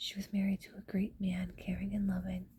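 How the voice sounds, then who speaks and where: Relaxed and somewhat breathy, a woman's dark, mellow voice at medium pitch moves fairly quickly in a flat monotone. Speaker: ASMR content creator. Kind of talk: urban legend reading from text. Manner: whispered, relaxed, casual.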